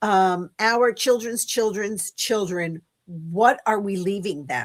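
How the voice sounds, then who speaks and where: A woman's medium-pitched voice at a very slow pace, with ordinary pitch variation and a dry, close sound with no echo. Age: 60s. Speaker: guest on a livestream. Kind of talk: casual chat. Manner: hesitant, many fillers.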